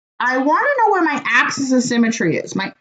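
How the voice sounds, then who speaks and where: A woman speaking at a moderate pace. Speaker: math teacher. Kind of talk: online class quiz review lecture.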